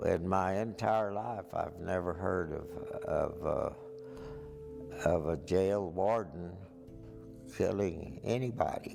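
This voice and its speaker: Over music in the background, someone with an American accent speaks at a very slow pace with very wide pitch swings. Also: man, very deep, low pitch for a man. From West Texas. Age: 80s+. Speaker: county judge. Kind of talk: interview answer.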